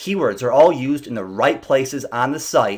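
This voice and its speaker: Here is a normal speaking voice at a moderate pace. The intonation is lively. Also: man. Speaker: SEO business owner. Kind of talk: slide presentation.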